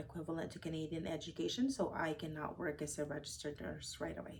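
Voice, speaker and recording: The pace is very fast. A woman talks with a very deep, low pitch. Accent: non-native. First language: not English. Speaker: registered nurse. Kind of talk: interview. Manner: hesitant, many fillers.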